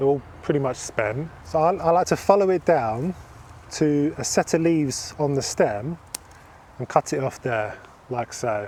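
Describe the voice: The speaker has a slightly mellow tone and lively intonation, going at a fairly slow pace. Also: man, fairly high pitch for a man.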